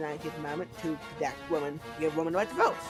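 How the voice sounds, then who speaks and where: Over music in the background, the speech races along at a very fast pace. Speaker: gaming video creator. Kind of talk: casual comedic explainer voiceover. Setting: poor quality home mic, audio cuts out. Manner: fast in parts.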